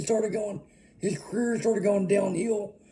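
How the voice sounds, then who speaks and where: A man with a high pitch speaks in an Arkansas accent. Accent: US Southern (Arkansas). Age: 30s. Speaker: music vlogger. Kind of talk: casual monologue. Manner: rambling, filler-heavy.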